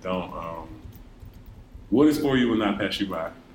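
Lively intonation in a room with audible echo. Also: man. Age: 20s. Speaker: student podcast co-host. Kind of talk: casual chat.

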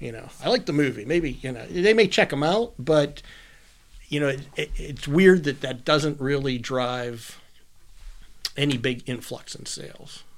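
This man has a normal speaking voice, pitched fairly high, with lively intonation. He talks at a fairly slow pace, and his loudness swings widely. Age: 50s. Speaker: comic shop owner. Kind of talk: casual interview chat.

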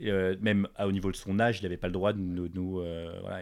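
A man with a fairly low voice at a fairly quick pace, on a very clean recording with a silent background. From Paris, France. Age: 20s. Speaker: fashion entrepreneur. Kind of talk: casual interview. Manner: animated.

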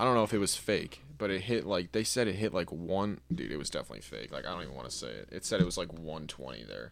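This man's voice is very deep and low, with vocal fry and very wide pitch swings. He talks very fast with hardly any pauses. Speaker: podcast co-host. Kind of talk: casual chat, podcast banter.

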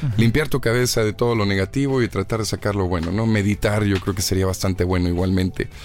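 A man talking at a very fast pace, with very even loudness, ordinary pitch variation and hardly any pauses. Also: fairly low pitch for a man. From Mexico, Monterrey. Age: 20s. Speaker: actor and TV presenter. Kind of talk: interview.

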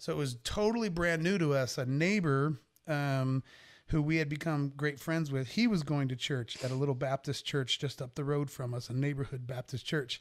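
A man with a normal speaking voice and fairly high pitch talks at a moderate pace with ordinary pitch variation, recorded very cleanly against a silent background. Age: 50s. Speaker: rock singer. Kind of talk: casual chat.

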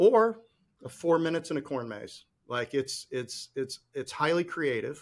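A man with an American accent, fairly high pitch, lively intonation, a fairly slow pace, and an unremarkable speaking voice. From Chicago, US Midwest. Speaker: podcast host. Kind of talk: casual interview chat.

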